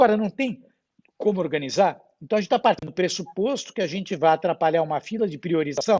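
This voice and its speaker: Speaking at a very fast pace, a man with a high-pitched voice uses lively intonation. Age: 60s. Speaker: hospital board chairman. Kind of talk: panel discussion. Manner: animated.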